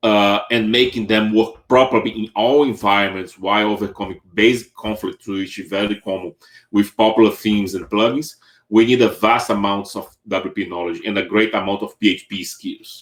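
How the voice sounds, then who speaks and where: Speech carries a Brazilian Portuguese accent and fairly even intonation. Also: man, fairly low pitch for a man, moderate pace. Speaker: web developer. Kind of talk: tech talk. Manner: halting, many fillers.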